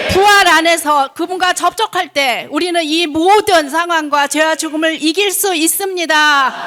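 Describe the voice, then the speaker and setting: Over noticeable background noise, a woman with an extremely high pitch projects a raised voice at a fairly slow pace, with fairly even intonation and hardly any pauses. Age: 70s. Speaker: church member sharing testimony. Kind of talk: testimony.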